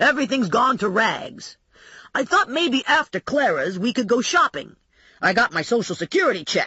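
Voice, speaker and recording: Putting on a character voice, a man speaks at a moderate pace with an extremely high pitch, very wide pitch swings and very even loudness. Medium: read story.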